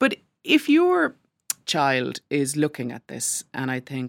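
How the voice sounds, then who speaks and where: In an Irish accent, a woman speaks with a very deep, low pitch, the sound dry and close with no echo on a very clean recording with a silent background. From rural Ireland. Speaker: newspaper columnist and broadcaster. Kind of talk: casual interview discussion.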